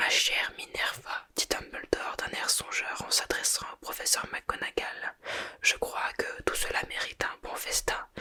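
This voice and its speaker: A woman is whispering at a fairly slow pace. Noticeable background noise is present. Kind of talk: whispered ASMR audiobook reading for sleep. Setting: ASMR microphone recording. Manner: whispered, soft.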